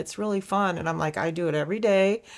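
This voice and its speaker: In a very clean recording with a silent background, a woman with an ordinary speaking voice talks fairly quickly at a medium pitch with ordinary pitch variation. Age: 60s. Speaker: amateur pickleball player. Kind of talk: interview.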